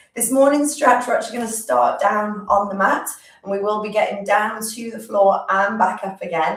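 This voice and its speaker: A woman talks at a medium pitch and a fairly quick pace, with ordinary pitch variation. Room echo is audible, along with noticeable background noise. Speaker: physiotherapist leading exercise class. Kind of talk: guided exercise class. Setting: live stream.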